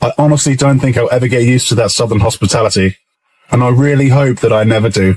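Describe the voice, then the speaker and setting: Speaking at a very fast pace with an English accent, a man keeps medium pitch, fairly even intonation and very even loudness. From England. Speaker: British expat vlogger. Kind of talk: casual vlog monologue.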